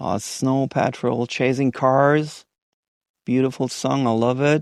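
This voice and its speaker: The background is quiet as a man talks at a medium pitch. His intonation stays fairly even. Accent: non-native. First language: not English. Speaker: indie musician. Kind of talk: podcast interview. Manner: halting, many fillers.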